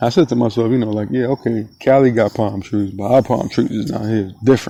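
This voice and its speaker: A man speaks at a fairly quick pace in a South Florida accent, his tone relaxed and his intonation fairly even. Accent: South Florida, Broward County. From South Florida (Broward County), Jamaican-born. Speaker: podcast host. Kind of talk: casual monologue. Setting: outdoors at sunset. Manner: relaxed, filler-heavy.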